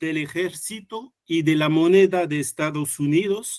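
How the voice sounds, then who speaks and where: A man talks at a very slow pace with a French accent. His pitch variation is ordinary. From France. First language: French (speaking Spanish). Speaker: economics researcher. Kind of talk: conference talk. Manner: halting, many fillers and restarts.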